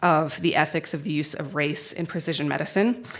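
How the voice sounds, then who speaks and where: A woman talks at a fairly low pitch with fairly even intonation. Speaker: law professor moderating a panel. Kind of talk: panel introduction at a conference.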